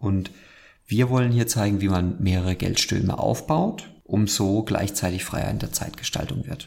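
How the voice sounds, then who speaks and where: A man with an ordinary speaking voice has a fairly low pitch. He moves at a moderate pace with ordinary pitch variation. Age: 30s. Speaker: podcast host. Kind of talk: casual chat.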